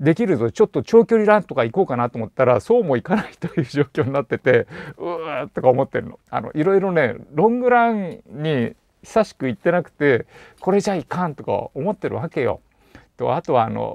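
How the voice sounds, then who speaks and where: With a relaxed tone, a man talks at a fairly quick pace, his pitch swinging very widely and his loudness rising and falling in big swings, recorded dry with no echo against a quiet background. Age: 50s. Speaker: bicycle shop owner; channel host. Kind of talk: casual monologue vlog. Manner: relaxed, conversational with many fillers. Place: home room. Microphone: lapel.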